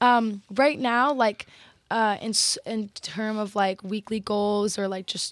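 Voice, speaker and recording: A fairly slow, fairly even delivery with an American accent, the sound dry and close with no echo, on a very clean recording over a silent background. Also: woman. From Texas. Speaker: model and university student. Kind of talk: casual chat.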